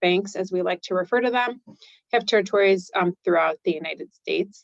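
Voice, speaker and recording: Speaking at a medium pitch, a woman with an American accent keeps her intonation fairly even. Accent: Chicago accent on some words. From Chicago, US Midwest. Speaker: bank executive. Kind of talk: webinar presentation. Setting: online webinar. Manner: many filler ums.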